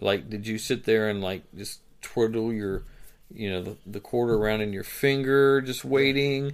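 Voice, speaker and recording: Here a man uses an ordinary speaking voice at medium pitch. He keeps a moderate pace with ordinary pitch variation. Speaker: podcast host. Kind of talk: casual chat.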